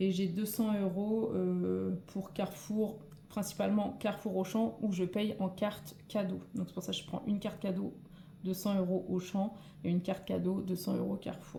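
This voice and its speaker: Here a woman speaks at a moderate pace. Her pitch sits in the medium range. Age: 40s. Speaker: nurse and budgeting vlogger. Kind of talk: tutorial. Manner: hesitant, many fillers.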